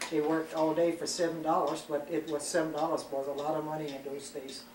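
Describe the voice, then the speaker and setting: In an American accent, the very fast, monotone, flat delivery comes with audible room echo and noticeable background noise. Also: woman, very deep, low pitch for a woman. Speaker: interviewee. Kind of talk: family interview. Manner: halting.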